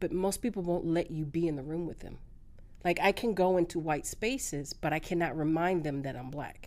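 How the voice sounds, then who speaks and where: A normal speaking voice from a woman, fairly low in pitch, with ordinary pitch variation and a fairly quick pace. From California. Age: 40s. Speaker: social media influencer. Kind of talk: casual interview chat.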